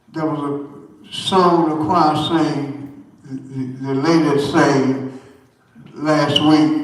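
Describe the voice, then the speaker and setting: Over noticeable background noise and audible room echo, a man with a fairly high pitch speaks at a very slow pace in a monotone, flat intonation, with long, frequent pauses. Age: 80s+. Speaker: church elder giving testimony. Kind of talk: church testimony. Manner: halting.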